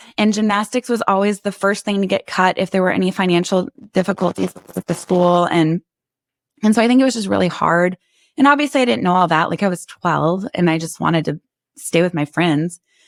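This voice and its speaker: An animated woman with an American accent talks at a fairly quick pace, at a medium pitch with lively intonation. The recording is very clean with a silent background, and the sound is dry and close with no echo. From northern US. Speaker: interview guest sharing life story. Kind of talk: casual conversational interview.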